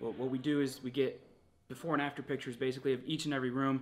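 A man's voice over faint background music. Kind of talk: casual vlog chat. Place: home room. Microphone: camera far.

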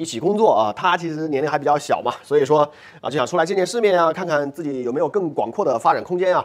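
Very fast speech comes from a man with a high pitch. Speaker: immigration consultancy owner and channel host; immigration consultant host. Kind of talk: explainer monologue. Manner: filler-heavy, conversational. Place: studio. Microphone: lapel.

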